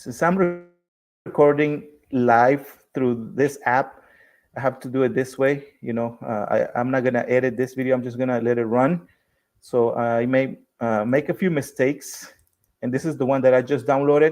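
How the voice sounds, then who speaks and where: Against a quiet background, a man speaks at a medium pitch and a moderate pace with ordinary pitch variation. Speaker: small business owner teaching decal design. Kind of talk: live-streamed tutorial. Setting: live stream recording via app. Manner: hesitant with fillers.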